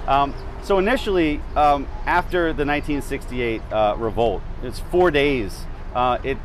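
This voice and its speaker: Here a man talks at a moderate pace with lively intonation. The sound is dry with no echo, over light background noise. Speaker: historian tour guide. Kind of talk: interview answer. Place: street. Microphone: lapel.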